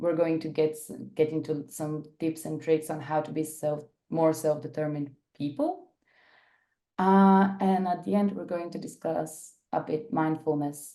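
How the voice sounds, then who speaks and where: This woman has a Bulgarian accent and a very deep, low pitch with a dark, mellow tone. She talks at a fairly slow pace with fairly even intonation. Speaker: workshop facilitator. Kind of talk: workshop presentation. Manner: hesitant, many fillers.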